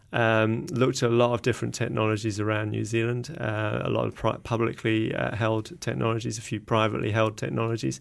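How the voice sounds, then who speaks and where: A man talks at a fairly quick pace with an English accent. He hardly pauses, and his pitch varies in an ordinary way. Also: fairly low pitch for a man. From England. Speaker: company CEO, scientist. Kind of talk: interview. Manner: halting, many filler words.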